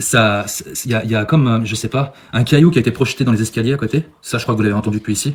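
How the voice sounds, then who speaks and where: On a very clean recording with a silent background, a man with a medium pitch and ordinary pitch variation speaks very fast in a somewhat breathy voice. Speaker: paranormal investigator. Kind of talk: live paranormal investigation vlog.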